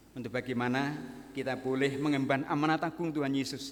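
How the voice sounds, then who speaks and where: Medium-pitched male voice moving at an even, moderate tempo. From Central Java, Banyumas region (Purbalingga). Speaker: guest pastor. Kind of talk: sermon. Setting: church.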